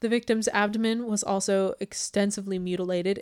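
In a very clean recording with a silent background, a woman speaks in a playful tone with monotone, flat intonation. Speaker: podcast host, true crime storyteller. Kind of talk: casual chat, true crime narration. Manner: fast talker, laughs often; playful, joking.

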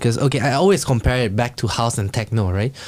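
The intonation is lively. The speaker has a Singaporean accent. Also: man. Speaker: podcast host. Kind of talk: casual chat. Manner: animated.

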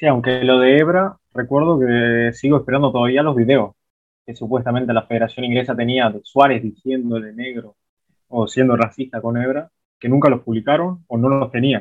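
Delivered at a moderate pace, a normal speaking voice keeps its intonation fairly even. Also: man, medium pitch for a man. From Uruguay, interior (outside Montevideo). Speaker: documentary filmmaker. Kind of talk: interview.

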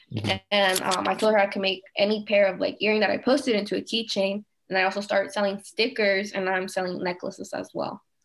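A woman with an American accent, medium-pitched with vocal fry, at a very fast pace, with fairly even intonation and hardly any pauses. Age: 20s. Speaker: small business owner. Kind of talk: interview.

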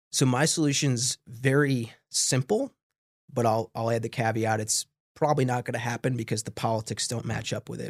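A man with an American accent has a plain, everyday voice at medium pitch with fairly even intonation. He speaks at a moderate pace on a very clean recording with a silent background. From New York, Long Island. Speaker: political science professor. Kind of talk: interview.

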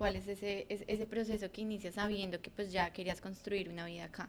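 A woman with a plain, everyday voice speaks at a fairly quick pace. Her pitch is fairly high and her intonation fairly even. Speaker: podcast host. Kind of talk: casual chat.

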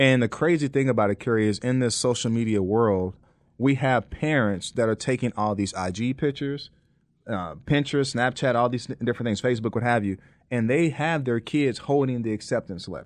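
Against a quiet background, a man with a plain, everyday voice speaks at a fairly quick pace and medium pitch, with ordinary pitch variation. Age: 40s. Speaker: college admissions coach. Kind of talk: interview.

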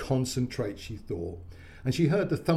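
Lively intonation in a natural reading voice.

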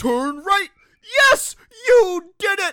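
In a put-on character voice, the speaker hits an extremely high pitch with very wide pitch swings. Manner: excited, encouraging.

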